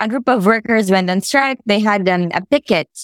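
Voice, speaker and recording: A woman speaks with a Filipino accent. Her pitch is fairly high. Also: dry, close sound with no echo. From Philippines. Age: 20s. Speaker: labor organizer. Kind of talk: casual interview conversation.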